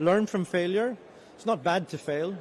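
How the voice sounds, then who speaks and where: A high-pitched man with a Swedish accent speaks at a very fast pace with ordinary pitch variation. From Sweden. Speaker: resilience organization representative. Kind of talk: panel talk.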